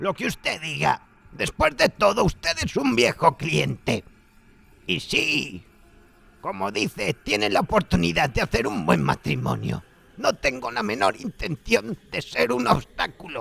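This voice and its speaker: A man's put-on character voice at a fairly slow pace, dry and close with no echo. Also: medium pitch for a man. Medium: read story. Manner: ironic, chuckling, shrewd.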